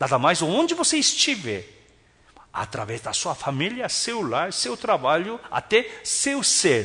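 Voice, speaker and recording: Speaking at a fairly slow pace, a man has an animated tone and very wide pitch swings. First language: not Portuguese (speaking Portuguese). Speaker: pastor. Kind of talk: sermon.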